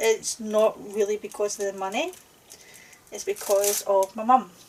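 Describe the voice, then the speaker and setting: Over noticeable background noise, a woman with a Scottish accent speaks at a fairly slow pace and a fairly high pitch. Her intonation stays fairly even while her loudness swings a lot. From Scotland. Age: 40s. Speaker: crafting YouTuber. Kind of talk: casual chat. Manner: hesitant, with fillers.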